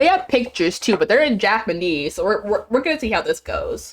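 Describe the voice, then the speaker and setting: A woman's high voice at a very fast pace, with very wide pitch swings. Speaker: streamer. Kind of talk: casual chat. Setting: live stream. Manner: halting.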